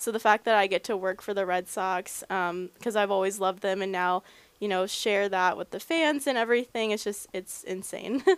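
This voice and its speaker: Speaking in a normal speaking voice with an American accent, a woman keeps a medium pitch, ordinary pitch variation and a moderate pace. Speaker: team creative services director. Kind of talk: casual interview.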